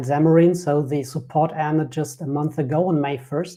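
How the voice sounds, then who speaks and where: A man with a slight German accent speaks at a fairly quick pace. His pitch is fairly high, with fairly even intonation. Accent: German, subtle. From Germany. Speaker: software developer and business founder. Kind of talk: interview podcast.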